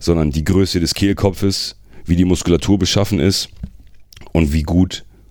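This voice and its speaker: Vocal fry in a very deep, low male voice, moderate in pace, its pitch varying in an ordinary way. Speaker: metal singer. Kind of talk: casual chat.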